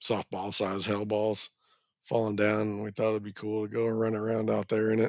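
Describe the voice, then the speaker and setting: Recorded very cleanly against a silent background, a man with an American accent talks at a fairly low pitch in a monotone, flat intonation. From Texas Panhandle (Borger). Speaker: ski resort grooming manager. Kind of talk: casual chat. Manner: casual.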